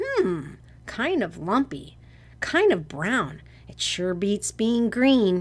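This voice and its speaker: A female-sounding, put-on character voice speaks at a medium pitch. The pace is very slow. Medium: read story.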